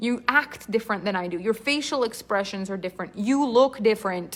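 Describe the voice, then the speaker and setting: In a French-Canadian accent, a woman talks fairly quickly in a fairly high voice with an animated tone and lively intonation. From Quebec. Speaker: storytelling coach. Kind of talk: live online class.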